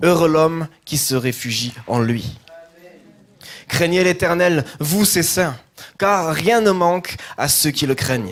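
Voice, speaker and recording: A man with a fairly high pitch, lively intonation and a slight southern French accent, at a very slow pace with long, frequent pauses. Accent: slight southern French, sing-song. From southern France. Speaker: pastor. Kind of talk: scripture reading in a sermon. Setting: church.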